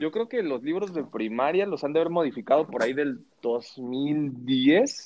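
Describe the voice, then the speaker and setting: With a Mexican accent, a man speaks at a fairly slow pace in a fairly high pitch, his intonation lively. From Mexico. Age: 30s. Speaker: podcast host. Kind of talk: casual chat.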